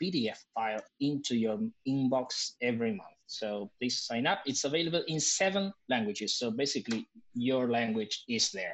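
A man speaks in a Spanish accent at a medium pitch. His pace is fairly slow and his intonation lively. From Argentina. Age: 40s. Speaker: improviser and improv teacher. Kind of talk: casual chat.

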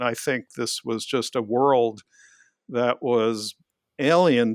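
A man uses an ordinary speaking voice with an American accent, medium pitch, and fairly even intonation. The sound is dry and close with no echo, in a very clean recording with a silent background. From New York City, Queens. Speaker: professor. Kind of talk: interview. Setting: office.

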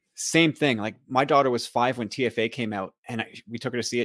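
The talking is very fast, with ordinary pitch variation. The recording is very clean and silent behind, with a dry, close sound and no echo. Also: man. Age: 40s. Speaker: podcaster. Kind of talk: casual chat.

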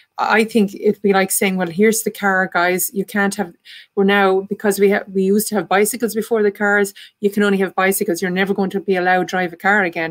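Very fast speech comes from a woman in an Irish accent. Her pitch is medium and her intonation monotone and flat. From Ireland. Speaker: artist and spiritualist medium. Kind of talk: panel discussion.

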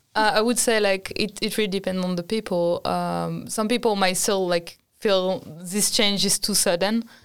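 In a very clean recording with a silent background, a woman with a French accent speaks at a medium pitch in a monotone, flat intonation. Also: moderate pace. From France. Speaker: international student. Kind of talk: casual chat.

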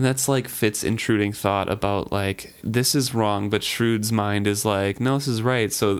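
The clip features an unforced reading voice. That voice carries the whole recording.

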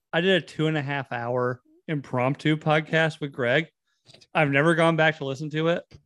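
Fairly high in pitch, this man speaks with an American accent and fairly even intonation. His is a plain, everyday voice. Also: moderate pace. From North Carolina. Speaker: podcast host. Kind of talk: casual chat.

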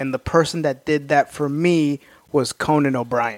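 An unremarkable speaking voice belongs to a man with an American accent who talks at a moderate pace and fairly high pitch, with ordinary pitch variation. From Oklahoma. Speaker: stand-up comedian. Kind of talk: casual chat.

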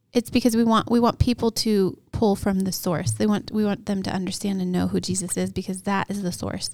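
This woman has an unremarkable speaking voice with an American accent and medium pitch. She talks at a fairly quick pace with fairly even intonation and hardly any pauses, in a very clean recording with a silent background. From Montana, Hamilton. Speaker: pastor. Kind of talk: casual chat. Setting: studio.

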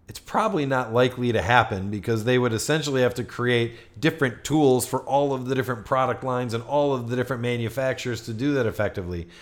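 This man has a plain, everyday voice at a medium pitch. His pitch variation is ordinary. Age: 40s. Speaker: marketing agency executive, podcast co-host. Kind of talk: casual business discussion.

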